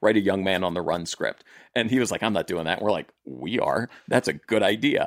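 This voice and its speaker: A man with a plain, everyday voice, fairly low in pitch, at a fairly quick pace with ordinary pitch variation, in a dry, close sound with no echo on a very clean recording with a silent background. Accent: American. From US South, southern Maryland. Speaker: TV writer and producer. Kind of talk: casual chat.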